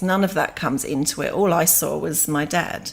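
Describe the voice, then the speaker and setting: A woman is speaking. She talks with an English accent. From England. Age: 50s. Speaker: yoga teacher. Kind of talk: interview, personal story.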